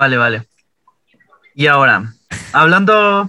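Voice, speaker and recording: Speaking fairly slowly, a man has a bright, sharp tone in a dry, close sound with no echo. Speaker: communication student interviewer. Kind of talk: interview.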